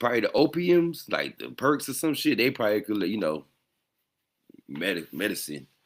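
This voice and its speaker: A man at a medium pitch uses very wide pitch swings and vocal fry, leaving long, frequent pauses in a very clean recording with a silent background. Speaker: podcast host. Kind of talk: casual live stream commentary. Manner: halting, stumbling over words.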